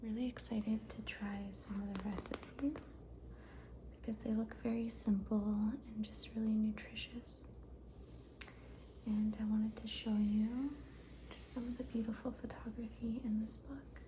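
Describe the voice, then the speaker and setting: Soft-spoken and relaxed in tone, the speaker goes at a fairly slow pace with noticeable background noise. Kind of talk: ASMR cookbook flip-through, soft-spoken talk to camera. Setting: lo-fi home recording. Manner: soft-spoken, quiet, relaxed.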